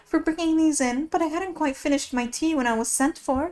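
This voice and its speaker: A woman puts on a character voice, high-pitched and nervous in tone, moving at a fairly quick pace. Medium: read story. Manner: nervous, flustered.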